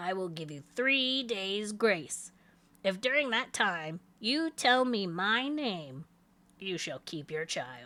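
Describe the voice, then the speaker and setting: In a raspy, put-on character voice at medium pitch, a woman speaks very slowly with very wide pitch swings. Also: very clean recording, silent background. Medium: read story. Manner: sly, bargaining.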